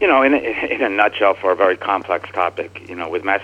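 A man with an American accent speaks fairly quickly in a very deep, low pitch with fairly even intonation, over noticeable background noise. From New Jersey. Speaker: novelist. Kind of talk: radio interview. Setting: remote line.

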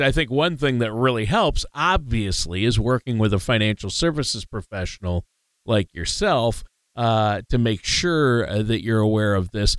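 A man with an unremarkable speaking voice uses lively intonation at very even loudness on a very clean recording with a silent background. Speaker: co-host. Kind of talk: casual talk show chat.

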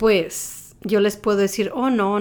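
On a very clean recording against a silent background, an unremarkable speaking voice proceeds at a moderate pace. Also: woman. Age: 40s. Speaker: lactation specialist. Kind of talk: interview monologue.

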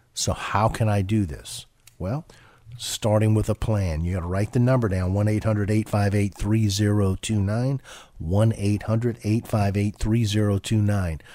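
Speaking at a moderate pace, a man uses a fairly low pitch and fairly even intonation. The recording is very clean, with a silent background. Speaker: financial advisor radio host. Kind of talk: casual chat. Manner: conversational, hesitant with fillers.

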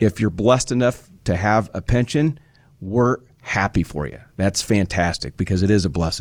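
On a very clean recording with a silent background, a man with an ordinary speaking voice talks at a moderate pace, his fairly low pitch carrying lively intonation. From Nebraska. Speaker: financial advisor. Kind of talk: radio talk show. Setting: studio.

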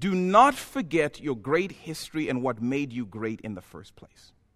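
Recorded very cleanly against a silent background, a man speaks at a fairly slow pace and a fairly high pitch. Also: big swings in loudness. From Zambia. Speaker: pastor. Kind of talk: sermon. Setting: church.

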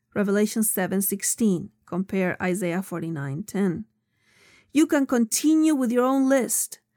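With a non-native accent and a dark, mellow tone, a woman talks at a fairly slow pace and a medium pitch, her pitch swinging very widely. The recording is very clean, with a silent background and a dry, close sound without echo. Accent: noticeable foreign. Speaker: author reading her own book. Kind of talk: audiobook narration. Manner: warm, expressive.

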